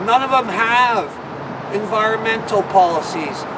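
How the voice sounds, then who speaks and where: A man with a Canadian accent and a high voice, noticeable background noise and audible room echo. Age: 60s. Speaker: political party leader. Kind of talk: political rant.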